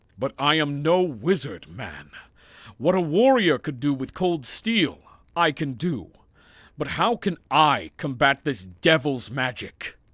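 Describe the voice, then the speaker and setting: Fairly high in pitch, a man's voice carries lively intonation on a very clean recording with a silent background. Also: fairly slow pace. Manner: blunt, impatient, gruff.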